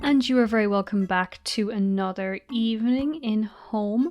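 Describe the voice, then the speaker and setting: In a relaxed tone, a woman with a fairly high voice speaks at a moderate pace with ordinary pitch variation. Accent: Irish. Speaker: gamer. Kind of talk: casual let's play commentary. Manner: relaxed, chatty.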